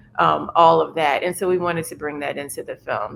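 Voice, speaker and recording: Her pitch sits fairly low and she carries a New Orleans accent. The woman speaks at a fairly quick pace. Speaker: documentary filmmaker. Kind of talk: roundtable discussion. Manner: casual, filler-heavy.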